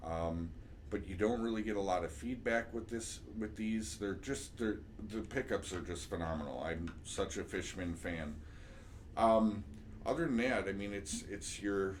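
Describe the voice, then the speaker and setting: This man talks at a fairly low pitch with ordinary pitch variation, and audible room echo surrounds his voice. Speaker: music teacher. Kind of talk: tutorial. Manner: casual, with many fillers.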